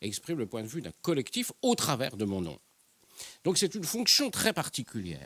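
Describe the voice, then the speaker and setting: In a very clean recording with a silent background and a dry, close sound with no echo, a man speaks at a moderate pace. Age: 60s. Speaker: newspaper journalist and columnist. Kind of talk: panel debate. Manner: halting, many hesitations.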